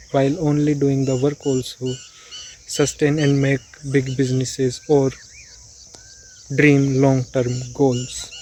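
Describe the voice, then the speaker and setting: Against noticeable background noise, a man with an Indian accent and a fairly high pitch speaks at a fairly slow pace in a monotone, flat intonation. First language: Hindi. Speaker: self-improvement YouTuber. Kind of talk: informal explainer vlog. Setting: outdoors on a road. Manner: stuttering.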